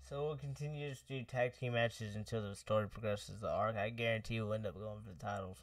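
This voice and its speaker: A man talks at a very fast pace with hardly any pauses and ordinary pitch variation. The background is quiet and the sound dry with no echo. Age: 20s. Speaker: gaming streamer. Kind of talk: live gameplay stream chat. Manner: casual, laid-back. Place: home room.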